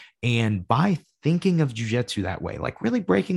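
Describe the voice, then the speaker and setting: Recorded very cleanly with a silent background, a man with a plain, everyday voice speaks at a moderate pace and a medium pitch. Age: 20s. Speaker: jiu-jitsu podcast host and instructor. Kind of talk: solo podcast monologue. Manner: casual, with frequent fillers.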